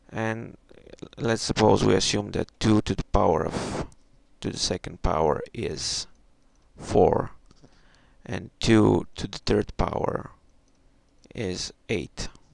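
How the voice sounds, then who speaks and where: With a non-native accent, a man talks at a very slow pace, leaving long, frequent pauses. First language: not English. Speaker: math tutorial maker. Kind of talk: tutorial. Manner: halting.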